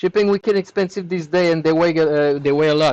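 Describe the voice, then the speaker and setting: A man with a French accent speaks with fairly even intonation. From Quebec, Canada. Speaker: hardware repair technician. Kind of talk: live stream tutorial, reading chat questions. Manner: casual, with frequent hesitations.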